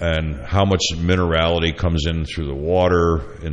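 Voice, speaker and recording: Noticeable background noise surrounds a man whose very deep, low pitch moves at a moderate pace. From upstate New York. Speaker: chef and radio host. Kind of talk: casual chat.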